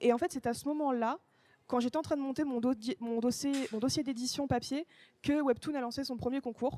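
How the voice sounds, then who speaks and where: A woman speaks at a moderate pace in a high voice with a dark, mellow tone and fairly even intonation. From France. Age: 20s. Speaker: comic author. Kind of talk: live interview. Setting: bookstore event with live audience. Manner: hesitant, many fillers.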